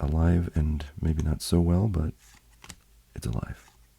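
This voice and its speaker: The man's very deep, low voice carries vocal fry and a dark, mellow tone. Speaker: card collecting youtuber. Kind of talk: casual unboxing video. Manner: casual, many filler words.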